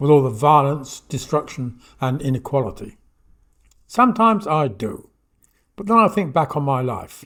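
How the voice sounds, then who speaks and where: Somewhat breathy and fairly high in pitch, a man speaks at a moderate pace with very wide pitch swings. The recording is very clean, the background silent. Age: 80s+. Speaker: talking book narrator on gut and soil microbes. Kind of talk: reading aloud.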